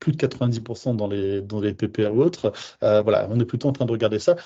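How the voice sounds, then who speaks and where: A man at a very fast pace, dark and mellow in tone, over a quiet background. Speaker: home care service manager. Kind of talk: webinar presentation.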